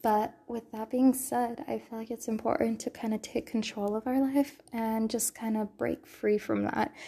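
This woman has an American accent and a fairly high pitch, with a dark, mellow, somewhat breathy tone. Her intonation stays fairly even at a moderate pace. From California. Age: 20s. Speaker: podcast host. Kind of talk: casual monologue. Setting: sparse bedroom. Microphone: echoey room audio.

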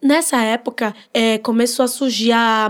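A woman speaks in a high pitch with a northeastern Brazilian accent. Her tone is animated, with ordinary pitch variation. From Northeast Brazil. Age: 20s. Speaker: social media influencer. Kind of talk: podcast interview.

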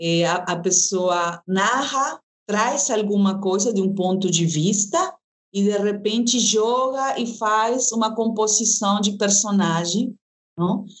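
In a Peruvian accent, a woman speaks very slowly at a medium pitch with very even loudness. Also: ordinary pitch variation. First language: Spanish (speaking Portuguese). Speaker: actress and storyteller. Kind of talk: interview.

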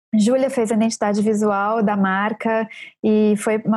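A dark, mellow tone from a woman pitched fairly high. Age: 30s. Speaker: book editor and baker. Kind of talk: casual chat.

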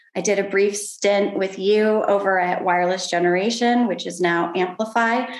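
With audible room echo and noticeable background noise, the speech runs with hardly any pauses and fairly even intonation. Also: woman, medium pitch for a woman, moderate pace. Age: 40s. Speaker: education nonprofit CEO. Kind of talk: casual interview.

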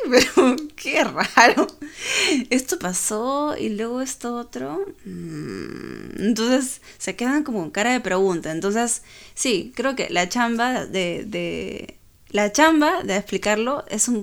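This woman's fairly high voice has a calm tone and lively intonation at a very slow pace. The recording is very clean, with a silent background. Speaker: podcast co-host. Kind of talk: casual chat.

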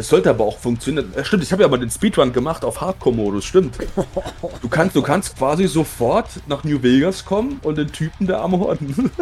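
The voice moves at a fairly quick pace with very wide pitch swings, over noticeable background noise. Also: man, fairly high pitch for a man. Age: 30s. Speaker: gaming podcast co-host. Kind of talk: casual chat.

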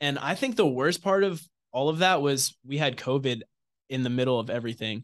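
A man's a normal speaking voice with an American accent, fairly quick pace, dry, close sound with no echo, and a quiet background. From New York (Somers, Westchester County). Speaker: college baseball pitcher. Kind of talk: interview. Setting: studio.

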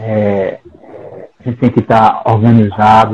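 A man's medium-pitched voice at a fairly slow pace. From Brazil, Paraíba (Campina Grande). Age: 50s. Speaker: psychologist and professor. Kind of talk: casual discussion.

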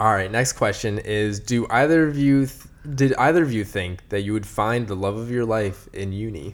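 In an ordinary speaking voice, a man talks at a moderate pace with fairly low pitch, ordinary pitch variation and hardly any pauses. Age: 20s. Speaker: podcast co-host. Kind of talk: casual chat.

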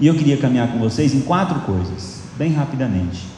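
Amid noticeable background noise and audible room echo, a man talks with lively intonation. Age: 50s. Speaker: pastor. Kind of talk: sermon.

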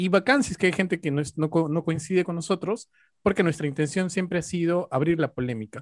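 A man speaks at a fairly quick pace in a high voice with an Andean Peruvian accent. The sound is dry and close with no echo, and his pitch varies in an ordinary way. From Peru, Ayacucho highlands. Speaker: sociologist. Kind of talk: casual chat.

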